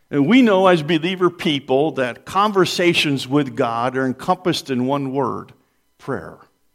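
Lively intonation and a fairly high pitch mark this man's normal speaking voice, at a moderate pace. The recording is very clean with a silent background. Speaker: pastor. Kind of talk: sermon. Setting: church.

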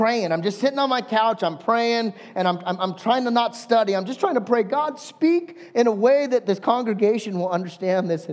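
A man's high-pitched voice at a moderate pace, with lively intonation and an American accent. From Southern California. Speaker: pastor. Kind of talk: sermon. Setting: church service with congregation.

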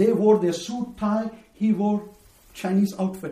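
A man's high-pitched voice with fairly even intonation over noticeable background noise. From India, Bombay. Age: 50s. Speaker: missionary preacher. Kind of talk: testimony.

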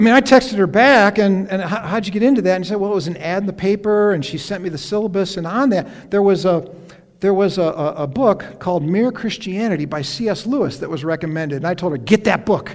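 Very fast speech in an American accent with hardly any pauses, ordinary pitch variation and noticeable background noise. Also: man, high pitch for a man. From upstate New York. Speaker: retired pastor. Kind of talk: sermon. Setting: church. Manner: halting.

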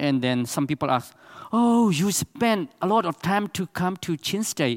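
A man with a Burmese accent talks in a high pitch with lively intonation. The sound is dry and close, with no echo. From Myanmar, Chin State. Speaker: missionary pastor. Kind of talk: church presentation. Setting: church with audience. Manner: halting.

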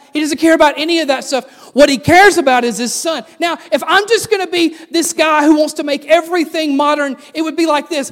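Talking at a fairly quick pace with hardly any pauses, a man with a Southern US accent uses an extremely high pitch and ordinary pitch variation. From US South. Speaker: pastor. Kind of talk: sermon.

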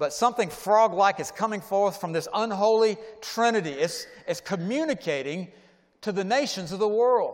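With ordinary pitch variation, the delivery runs at a fairly quick pace. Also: man. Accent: American. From US South, Atlanta. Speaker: pastor. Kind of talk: sermon. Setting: church.

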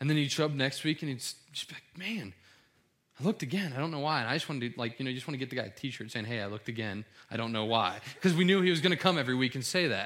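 Animated and lively in intonation, a man with an American accent talks at a very fast pace. His pitch is medium, and the recording is very clean with a silent background. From US Midwest, Cincinnati, Ohio. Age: 20s. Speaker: pastor. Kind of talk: sermon. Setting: church.

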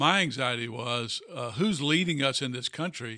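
Here a man speaks at a moderate pace with a fairly high pitch and ordinary pitch variation. His tone is bright and sharp. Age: 60s. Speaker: pastor. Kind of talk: casual chat. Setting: office.

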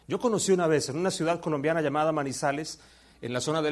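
A man rattles off his words at a very fast clip, his fairly high voice rising and falling in an ordinary way. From Colombia. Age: 50s. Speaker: visiting preacher. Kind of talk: sermon.

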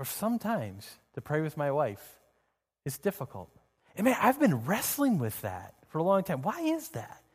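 Pitch in this man's voice swings very widely. His delivery keeps a moderate pace. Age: 30s. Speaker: pastor. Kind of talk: sermon. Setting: church. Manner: halting.

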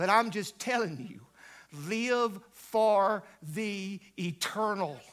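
Talking in a Southern US accent, a man speaks at a very slow pace in a high pitch. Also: ordinary pitch variation. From US South, upstate South Carolina (Greenville/Pickens). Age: 60s. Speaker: pastor, guest revival preacher. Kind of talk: sermon. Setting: church with congregation.

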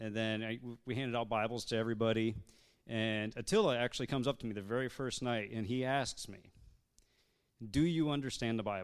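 A plain, everyday voice from a man, medium-pitched, with fairly even intonation and a moderate pace, on a very clean recording with a silent background. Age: 30s. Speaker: church member on missions team. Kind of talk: church testimony talk. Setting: church service.

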